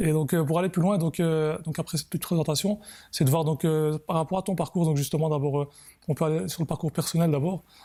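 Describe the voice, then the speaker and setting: A man with a fairly high pitch and a dark, mellow tone talks at a very fast pace with fairly even intonation and very even loudness, on a very clean recording with a silent background. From Belgium, Brussels (Molenbeek). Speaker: football show host. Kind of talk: interview. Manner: hesitant, many fillers.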